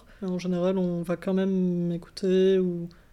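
A woman speaks at a fairly slow pace. Her voice is medium-pitched, with a dark, mellow tone. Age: 20s. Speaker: student. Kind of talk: interview.

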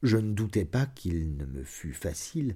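A man speaks in a dark, mellow, solemn tone, somewhat breathy. The recording is very clean, with a silent background. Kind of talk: audiobook reading of a literary short story, first-person confessional narration. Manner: measured, solemn, slow literary delivery with dark, tense gravity.

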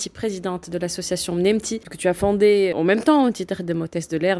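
A woman with a normal speaking voice talks at a moderate pace. Her pitch varies in an ordinary way. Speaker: radio host and podcast producer. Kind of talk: interview.

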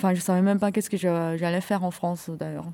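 Her voice sits at a fairly low pitch. This woman's tone is dark and mellow. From China. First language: Chinese (speaking French). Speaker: artist. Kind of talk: casual chat.

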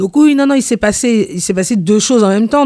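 On a very clean recording with a silent background, a woman speaks in a dark, mellow tone with very wide pitch swings. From Paris, Antillean parents. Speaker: community activist. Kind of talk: radio interview. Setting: on location outside the studio.

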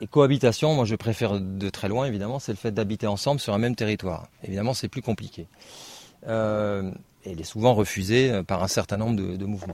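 The speaker moves at a fairly quick pace. Pitch varies in an ordinary way. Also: man, fairly low pitch for a man. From Paris region, France. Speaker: naturalist. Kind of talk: talk to an audience. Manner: halting.

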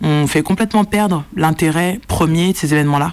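Her pace is fairly quick. The woman uses ordinary pitch variation. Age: 30s. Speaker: film director. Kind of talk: interview. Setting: small cinema room.

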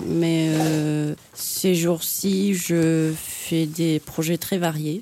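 A woman's fairly low-pitched voice with fairly even intonation, amid noticeable background noise. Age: 30s. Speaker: artist and dancer. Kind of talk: radio interview.

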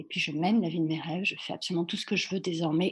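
There is some breathiness in this voice. The pitch moves up and down in an ordinary way. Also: woman. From France. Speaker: dancer and dance teacher. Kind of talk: casual interview. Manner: halting, many fillers.

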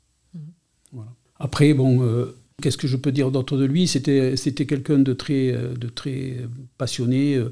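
With a dark, mellow tone, a man speaks at a fairly slow pace, his medium pitch following fairly even intonation. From Montpellier, France. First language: Catalan (speaking French). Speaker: retired school administrator. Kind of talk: testimony. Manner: halting.

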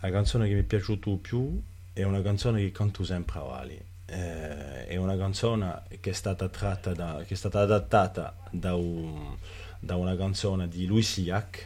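Very deep, low male voice, somewhat breathy, with a dark, mellow tone. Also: ordinary pitch variation, moderate pace. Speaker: writer and cultural figure. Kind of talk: interview. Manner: halting, with many repetitions.

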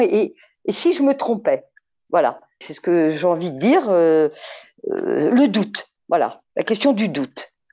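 A woman's dark, mellow voice at medium pitch, with vocal fry, very wide pitch swings and a fairly slow pace against a quiet background. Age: 60s. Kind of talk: testimony.

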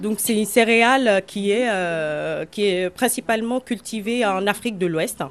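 An unremarkable speaking voice from a woman at medium pitch, fairly slow but with hardly any pauses, and with ordinary pitch variation. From Benin. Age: 30s. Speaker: community cook. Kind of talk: interview.

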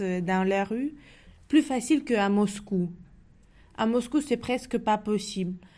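A woman's dark, mellow tone at medium pitch, with ordinary pitch variation and a very clean recording against a silent background. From Tajikistan, later Moscow. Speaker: exile learning French. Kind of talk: interview testimony. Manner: halting.

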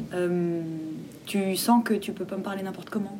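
With fairly even intonation and a medium pitch, a woman keeps a moderate pace amid noticeable background noise. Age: 20s. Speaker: theatre director and playwright. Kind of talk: interview.

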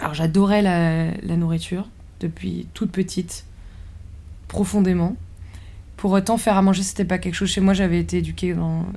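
Moderate pace broken by long, frequent pauses. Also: woman. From rural France. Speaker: architect and chef. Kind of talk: interview. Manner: halting.

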